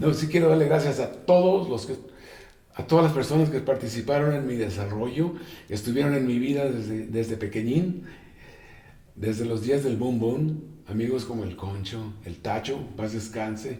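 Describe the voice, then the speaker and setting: A somewhat breathy man speaks fairly quickly at a medium pitch, with ordinary pitch variation. Audible room echo surrounds the voice. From Mexico, Tijuana. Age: 70s. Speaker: jazz guitarist. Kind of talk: interview. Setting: at home.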